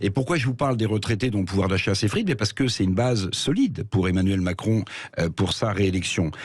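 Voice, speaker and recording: His voice is somewhat breathy, a man speaking. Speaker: radio commentator. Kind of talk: radio commentary on economics and politics.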